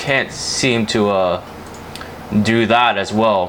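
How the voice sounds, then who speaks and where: Noticeable background noise sits behind a man speaking at a very slow pace. His voice is medium in pitch, with fairly even intonation. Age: 20s. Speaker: gaming YouTuber. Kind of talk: casual gameplay commentary. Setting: home, playing racing sim. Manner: hesitant, many fillers.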